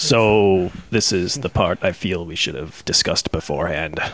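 A man's put-on character voice, very deep and low in pitch, with lively intonation at a moderate pace. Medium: actual play. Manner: formal, dry, slightly mocking.

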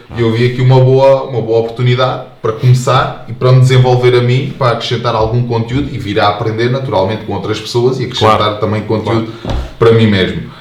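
With hardly any pauses, a man rattles along at a very fast pace and medium pitch in monotone, flat intonation, amid audible room echo and noticeable background noise. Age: 20s. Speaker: soldier. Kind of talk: casual chat.

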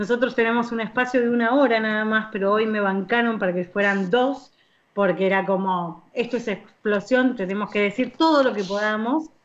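A woman's unremarkable speaking voice at a fairly high pitch, ordinary pitch variation and moderate pace. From Argentina, Buenos Aires. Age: 40s. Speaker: radio host. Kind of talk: casual chat.

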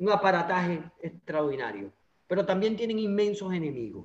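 A man with a Venezuelan accent. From Venezuela, Anzoátegui state. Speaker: political activist. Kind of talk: interview.

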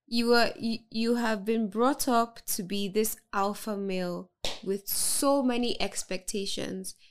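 Speaking very slowly with ordinary pitch variation, a woman with a fairly high pitch is heard on a very clean recording with a silent background. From Nigeria, Lagos (Ikeja). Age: 20s. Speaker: mental health advocate and content creator. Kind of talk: casual interview chat. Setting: studio.

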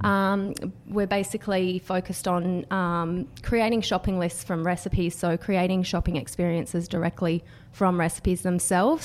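Someone with an Australian accent talks at a moderate pace with fairly even intonation. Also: woman. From Australia, Canberra. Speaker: startup founder. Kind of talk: podcast interview.

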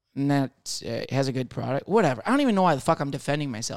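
A man speaks with lively intonation and a playful tone. The recording is very clean with a silent background, and the sound is dry and close with no echo. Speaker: podcast co-host, comedian. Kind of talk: casual banter. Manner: joking, playful.

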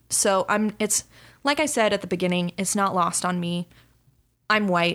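Recorded very cleanly against a silent background, a woman with an American accent and an unremarkable speaking voice talks at a moderate pace in a medium pitch with ordinary pitch variation. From Dallas suburb, Texas. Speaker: podcast co-host. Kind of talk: casual chat.

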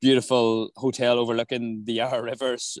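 Recorded very cleanly against a silent background, the voice has an Irish accent, a moderate pace, monotone, flat intonation and dry, close sound with no echo. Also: man. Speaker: touring singer. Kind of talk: casual chat. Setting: outdoors.

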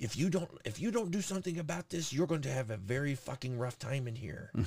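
A somewhat breathy man at a fairly high pitch, with lively intonation, big swings in loudness and a fairly quick pace. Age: 40s. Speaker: podcast host. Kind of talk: casual banter, crude comedy chat.

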